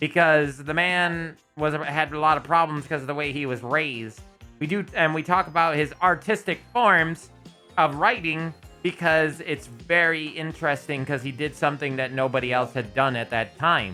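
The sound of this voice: Music plays behind a voice that keeps a moderate pace and varies its pitch in an ordinary way. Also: woman, very deep, low pitch for a woman.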